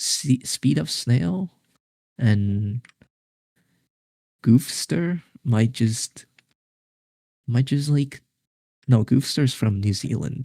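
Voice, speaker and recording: Very slow and marked by long, frequent pauses, a man's somewhat breathy voice with a dark, mellow tone comes through a dry, close sound with no echo in a very clean recording with a silent background. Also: medium pitch for a man. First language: not English. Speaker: esports tournament commentator. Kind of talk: live commentary. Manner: halting, many repeated words.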